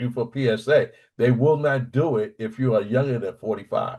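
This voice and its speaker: Over a quiet background, a man with a fairly high, somewhat breathy voice talks at a moderate pace with ordinary pitch variation. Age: 60s. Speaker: prostate cancer survivor, military veteran. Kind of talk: panel discussion testimony.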